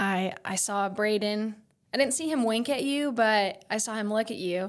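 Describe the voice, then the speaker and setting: A speaker with an American accent, captured in a very clean recording against a silent background. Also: woman. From Oklahoma. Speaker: speech-language pathologist. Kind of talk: casual chat. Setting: studio.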